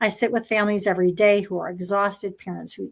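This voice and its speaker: A woman with an ordinary speaking voice. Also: very clean recording, silent background. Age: 60s. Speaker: pediatric neuropsychologist, panelist. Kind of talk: personal testimony in live panel. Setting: live stream.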